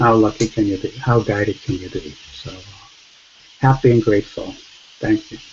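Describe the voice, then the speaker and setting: A soft-spoken man talks at a medium pitch with ordinary pitch variation over noticeable background noise. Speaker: study group participant. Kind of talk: spiritual sharing in online group.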